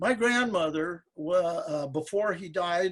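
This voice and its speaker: A man speaks with an American accent at a fairly slow pace. His pitch is high, with ordinary pitch variation. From Eastern Washington, US. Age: 70s. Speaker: museum volunteer and speaker. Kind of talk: storytelling talk.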